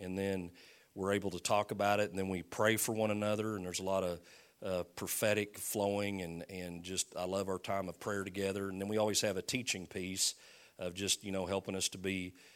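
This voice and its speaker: Very deep and low in pitch, a man speaks in a monotone, flat delivery at a fairly quick pace. The recording is very clean, with a silent background. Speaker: pastor. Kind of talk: sermon introduction. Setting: church.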